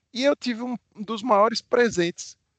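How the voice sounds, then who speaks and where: Against a quiet background, a man with a Pernambuco accent speaks at a moderate pace, the sound dry and close with no echo. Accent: Pernambuco Brazilian Portuguese. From Brazil, Pernambuco. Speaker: bank executive. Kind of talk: live webinar talk. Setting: online live stream. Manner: warm, animated.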